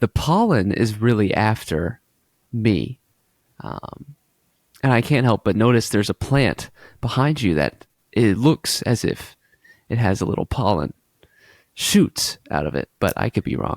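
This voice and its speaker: A man's medium-pitched voice with vocal fry and lively intonation, fairly slow with long, frequent pauses, in a dry, close sound with no echo and a very clean recording against a silent background. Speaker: podcast co-host. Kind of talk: casual chat.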